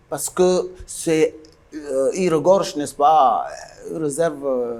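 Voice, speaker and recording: A man's fairly high, fairly even voice at a very slow pace, with noticeable background noise. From northern Cameroon, Mayo-Louti. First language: Guidar (speaking French). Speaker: musician. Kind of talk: interview.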